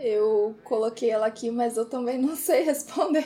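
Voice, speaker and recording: Over noticeable background noise, a woman speaks with fairly high pitch and ordinary pitch variation. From Brazil, Porto Alegre. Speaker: podcast co-host. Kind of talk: casual chat.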